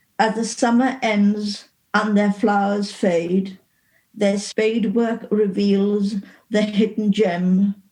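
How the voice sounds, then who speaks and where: A very slow, somewhat breathy voice with a dark, mellow tone, flat monotone intonation and very even loudness. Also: woman, medium pitch for a woman. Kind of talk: poetry reading.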